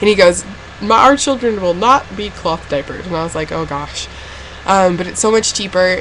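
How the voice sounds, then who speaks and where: A woman speaks at a fairly quick pace and a fairly low pitch. Noticeable background noise is present. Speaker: vlogger. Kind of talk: casual vlog.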